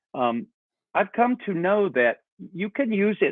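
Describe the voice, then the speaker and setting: With an American accent, a man speaks at a fairly slow pace using very wide pitch swings. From US South, North Carolina. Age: 60s. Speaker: backpacking YouTuber. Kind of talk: casual chat.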